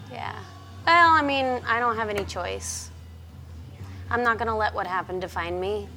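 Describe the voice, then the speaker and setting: A woman at a moderate pace with long, frequent pauses and audible room echo. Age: 40s. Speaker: roller skater and artist. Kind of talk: casual chat.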